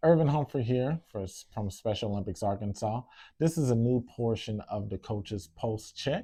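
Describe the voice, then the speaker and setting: On a very clean recording with a silent background, a man with a dark, mellow, somewhat breathy tone speaks at a moderate pace and medium pitch with ordinary pitch variation. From Louisiana. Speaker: sports director. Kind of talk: staff interview.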